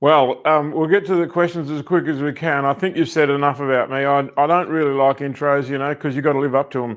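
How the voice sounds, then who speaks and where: A man with an Australian accent, fairly high-pitched and fairly even in intonation, talking at a very fast pace with hardly any pauses, on a very clean recording with a silent background. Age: 70s. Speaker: personal development coach. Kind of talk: interview.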